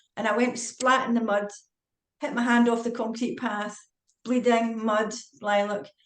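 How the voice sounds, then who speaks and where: A woman with a Scottish accent, fairly high in pitch, her intonation fairly even. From Scotland. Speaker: retired forensic psychiatrist and author. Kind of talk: casual interview chat. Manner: fast.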